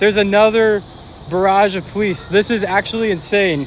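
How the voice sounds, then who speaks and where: A fairly slow pace amid noticeable background noise. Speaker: podcast host documenting protest. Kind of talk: on-the-street vlog narration. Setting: outdoors at a protest march. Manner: casual, filler-heavy.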